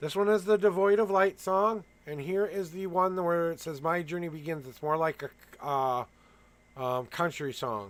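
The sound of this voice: Fairly high male voice with ordinary pitch variation at a moderate pace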